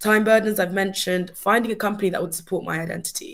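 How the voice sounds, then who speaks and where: A woman in a southern English accent with monotone, flat intonation. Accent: sounds very British, southern English. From UK, Surrey (immigrant family). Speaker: award-winning apprentice. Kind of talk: webinar presentation.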